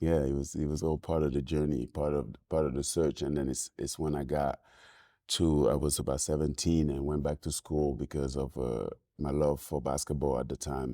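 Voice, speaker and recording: A dark, mellow voice in a Senegalese accent speaks at a moderate pace with monotone, flat intonation. The recording is very clean, with a silent background. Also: man, very deep, low pitch for a man. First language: French. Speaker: filmmaker and musician. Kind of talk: podcast interview. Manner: halting.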